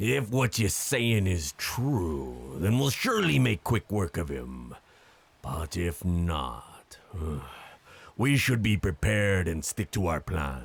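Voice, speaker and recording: This man puts on a character voice with a very deep, low pitch and very wide pitch swings. He talks at a fairly slow pace. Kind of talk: nautical pirate-era speech. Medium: audio drama. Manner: commanding, declamatory.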